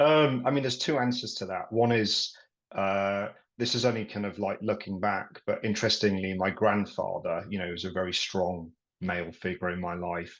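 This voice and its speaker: A man speaks with a Yorkshire accent at a moderate pace. His pitch is fairly low, with ordinary variation. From Yorkshire, England. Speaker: property and business coach, army veteran. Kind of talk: podcast interview.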